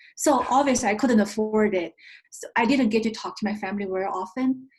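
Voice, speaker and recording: A woman speaks at a fairly quick pace with a Chinese accent. Her fairly high voice sounds somewhat breathy. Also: ordinary pitch variation, big swings in loudness. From China. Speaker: investment firm founder. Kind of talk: interview.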